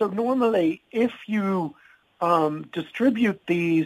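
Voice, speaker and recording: A man speaks in a high pitch. His intonation is lively. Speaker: health organization spokesperson. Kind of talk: interview.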